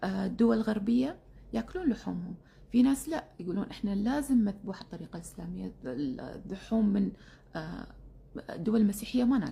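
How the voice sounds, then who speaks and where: A woman's medium-pitched voice in a Kuwaiti accent, fairly slow in pace with lively intonation. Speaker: keto diet influencer. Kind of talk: instagram live chat. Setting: instagram live stream. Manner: casual with many fillers.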